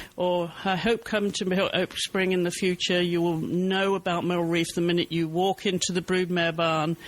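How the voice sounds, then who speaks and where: Over noticeable background noise, a man with a high pitch talks at a moderate pace with hardly any pauses. His intonation is monotone and flat, and his loudness is very even. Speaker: podcast host. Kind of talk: interview question.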